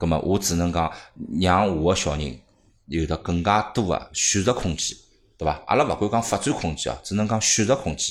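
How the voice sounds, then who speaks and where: This man has a very deep, low pitch and lively intonation, speaking at a moderate pace. The recording is very clean, with a silent background. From Shanghai. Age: 30s. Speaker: marketing manager at study-abroad agency. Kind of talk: casual chat.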